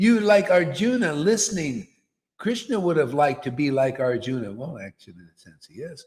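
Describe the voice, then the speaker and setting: A man with a fairly high pitch speaks in an animated tone at a moderate pace. His voice is somewhat breathy and makes very wide pitch swings. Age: 60s. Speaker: guru / spiritual teacher. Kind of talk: spiritual discourse. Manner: casual, conversational.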